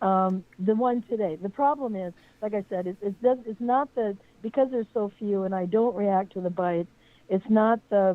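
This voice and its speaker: A woman talks at a moderate pace and a medium pitch, with ordinary pitch variation. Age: 60s. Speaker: caller. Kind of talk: phone-in question. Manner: halting.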